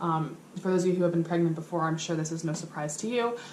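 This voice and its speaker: Noticeable background noise and audible room echo surround a woman speaking at a fairly low pitch. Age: 20s. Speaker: vlogger. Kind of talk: casual vlog to camera. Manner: hesitant, many fillers.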